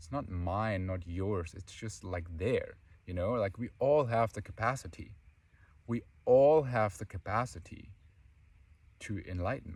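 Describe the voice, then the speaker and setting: Speaking at a fairly slow pace, a man sounds somewhat breathy, leaves long, frequent pauses, swings widely in loudness and shows ordinary pitch variation. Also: fairly low pitch for a man. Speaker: spiritual teacher. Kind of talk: spiritual talk.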